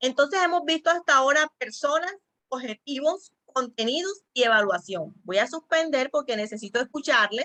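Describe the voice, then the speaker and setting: Bright and sharp in tone, a woman's voice moves through very wide pitch swings. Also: dry, close sound with no echo. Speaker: church teacher trainer. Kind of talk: online training class. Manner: fast.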